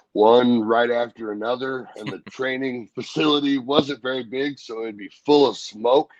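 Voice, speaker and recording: A man with an American accent and an unremarkable speaking voice talks at a moderate pace with hardly any pauses, fairly even intonation and big swings in loudness. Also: medium pitch for a man. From Missouri. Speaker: professional wrestler. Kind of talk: interview answer, casual storytelling. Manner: relaxed, conversational.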